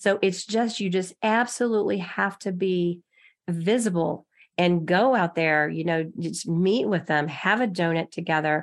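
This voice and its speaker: Against a quiet background, a woman with an American accent speaks in an unremarkable speaking voice, fairly slow and fairly low in pitch, with ordinary pitch variation. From Texas. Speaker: loan officer. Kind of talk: interview.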